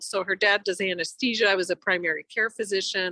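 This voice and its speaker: A woman's bright, sharp voice comes through dry and close with no echo, fairly quick, against a quiet background. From Eastern Europe. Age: 60s. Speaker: physician. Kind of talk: podcast interview. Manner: conversational, with fillers.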